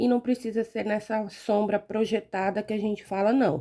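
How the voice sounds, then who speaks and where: Her voice has a dark, mellow tone, and the recording is very clean with a silent background. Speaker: fabric painting teacher. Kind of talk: tutorial. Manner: soft-spoken; gets quieter while absorbed in painting.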